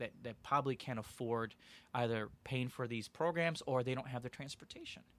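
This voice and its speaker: An unremarkable speaking voice from a man, medium in pitch, with an American accent and a fairly quick pace. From Aurora, Illinois, US Midwest. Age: 30s. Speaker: youth services worker. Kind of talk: interview. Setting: studio.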